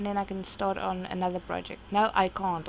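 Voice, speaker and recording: A woman with a South African accent speaks at a moderate pace. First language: Afrikaans. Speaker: artist vlogger. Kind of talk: casual chat. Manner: halting.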